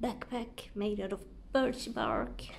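A somewhat breathy woman speaks at a very slow pace with ordinary pitch variation, over light background noise. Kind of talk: casual vlog chat. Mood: relaxed, fond. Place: home room. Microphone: phone near.

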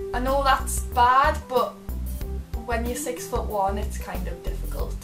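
In a Geordie accent, a woman speaks at a very slow pace with clear music in the background. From Northeast England. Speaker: vlogger. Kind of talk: casual talk to camera. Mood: light, playful, slightly giggly. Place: home room.

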